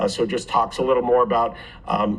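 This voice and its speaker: A man with a medium-pitched voice rushes along at a very fast pace. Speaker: private developer presenting a project. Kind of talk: public hearing presentation. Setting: city commission meeting. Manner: halting, many fillers and repeats.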